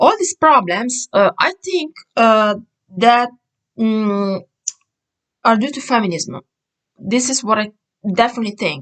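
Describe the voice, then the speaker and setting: With an Italian accent, a woman of fairly high pitch speaks at a fairly slow pace with long, frequent pauses and very wide pitch swings, in a dry, close sound with no echo. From Italy. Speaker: vlogger. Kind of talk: casual monologue vlog. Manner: hesitant, many fillers.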